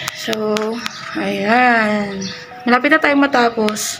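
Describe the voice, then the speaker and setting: A woman's fairly high voice in a monotone, flat intonation, with music in the background. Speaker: paranormal explorer vlogger. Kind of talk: walkthrough vlog narration.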